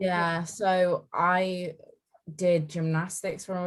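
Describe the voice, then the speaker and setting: A woman's somewhat breathy voice. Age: young. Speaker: bodybuilding athlete. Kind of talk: casual chat.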